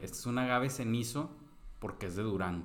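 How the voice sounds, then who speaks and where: A man talks fairly quickly, and audible room echo hangs around his words. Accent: Mexican. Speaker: podcast co-host. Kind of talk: casual chat.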